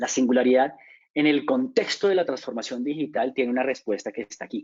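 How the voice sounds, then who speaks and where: Here a man talks at a fairly quick pace with a medium pitch. His pitch varies in an ordinary way. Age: 40s. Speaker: business consultant. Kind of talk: lecture. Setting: webinar. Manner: halting; fast.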